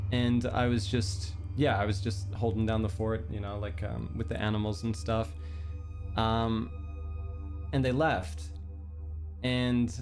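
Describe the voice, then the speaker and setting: Music plays behind a man with a fairly low voice. He speaks at a very slow pace with lively intonation. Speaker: virtual streamer. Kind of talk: casual livestream storytelling. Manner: hesitant, many fillers.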